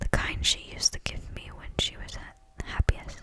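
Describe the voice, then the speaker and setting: Against noticeable background noise, someone whispers at a fairly slow pace. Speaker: ASMR creator. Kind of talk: ASMR book reading. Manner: whispered.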